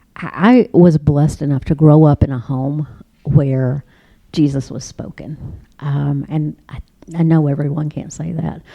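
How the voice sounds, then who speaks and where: A woman with a very deep, low pitch, a dark, mellow tone, fairly even intonation, big swings in loudness and a fairly slow pace. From Northeast Arkansas. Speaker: author and entrepreneur. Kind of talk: radio interview.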